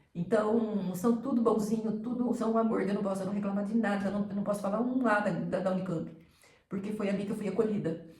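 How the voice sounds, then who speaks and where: A woman's monotone, flat delivery amid noticeable background noise and audible room echo. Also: medium pitch for a woman, fairly quick pace. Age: 60s. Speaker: cancer survivor vlogger. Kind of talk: personal testimony. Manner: halting, with repetitions and self-corrections.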